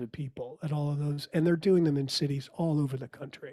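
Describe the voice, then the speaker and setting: Somewhat breathy, a man speaks at a fairly high pitch with a dark, mellow tone. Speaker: musician and theatre performer. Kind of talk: podcast interview.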